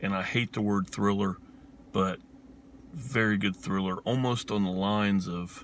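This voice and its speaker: Speaking fairly slowly with an Appalachian accent, a man with a fairly low pitch and fairly even intonation leaves long, frequent pauses. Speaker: film reviewer, video host. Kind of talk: casual film review monologue. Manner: casual, hesitant with many fillers.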